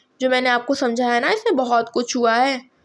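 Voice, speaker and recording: The woman here speaks with a high pitch. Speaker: nursing tutor. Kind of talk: lecture. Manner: halting, with fillers.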